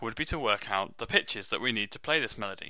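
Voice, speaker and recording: A man's bright, sharp voice at a very fast pace in a British accent, on a very clean recording with a silent background. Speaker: music teacher. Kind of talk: tutorial.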